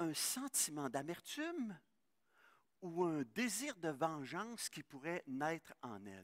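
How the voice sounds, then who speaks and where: Very wide pitch swings from a man, with a dry, close sound and no echo. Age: 60s. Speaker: pastor. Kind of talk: sermon. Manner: halting.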